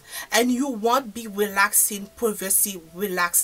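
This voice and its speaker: A woman at a fairly slow pace. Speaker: hair care vlogger. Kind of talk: casual vlog chat. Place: home room. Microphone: phone near.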